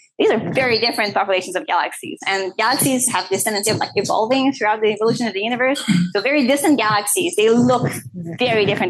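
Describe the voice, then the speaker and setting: A woman's fairly high voice, very fast and with lively intonation, amid noticeable background noise. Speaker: physics professor and researcher. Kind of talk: conference talk. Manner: casual, filler-heavy (uh, like).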